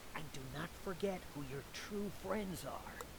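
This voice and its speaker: The speaker puts on a character voice at a middle pitch. The pace is fairly slow, with loud background noise. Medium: video game. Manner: hushed, melodramatic.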